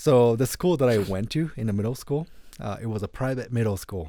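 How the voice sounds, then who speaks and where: Over a silent background in a very clean recording, a man with a Japanese accent speaks at a moderate pace, his dark, mellow tone carried by lively intonation. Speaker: saxophonist. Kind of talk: interview.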